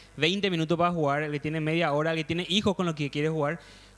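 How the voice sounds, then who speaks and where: Over noticeable background noise, a man with a high pitch talks at a very fast pace. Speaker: podcast panelist. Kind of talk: casual chat.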